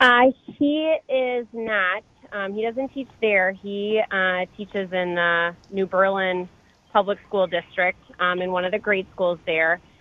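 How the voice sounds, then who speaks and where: A woman with an American accent, medium in pitch, with ordinary pitch variation and a very slow pace. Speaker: baseball coach's wife. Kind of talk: casual chat.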